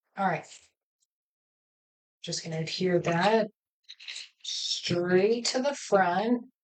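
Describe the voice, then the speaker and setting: A woman talks at a very slow pace in a medium pitch with ordinary pitch variation, leaving long, frequent pauses. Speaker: cardmaking instructor. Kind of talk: live crafting tutorial. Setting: live stream. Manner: mumbles to herself at times; casual, halting.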